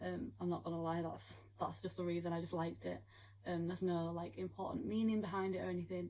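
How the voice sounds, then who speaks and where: A woman with a British accent, talking at a very fast pace. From United Kingdom. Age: young. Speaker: young mother vlogger. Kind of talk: casual Q&A talk to camera.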